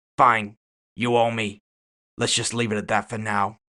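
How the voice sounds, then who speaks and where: A man speaks in a put-on character voice at medium pitch, raspy and at a moderate pace. His intonation is monotone and flat. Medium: read story. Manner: casual, unruffled.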